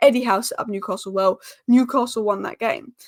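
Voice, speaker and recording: A woman is speaking. Her tone is animated. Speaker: football YouTuber. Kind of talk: casual commentary vlog. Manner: fast.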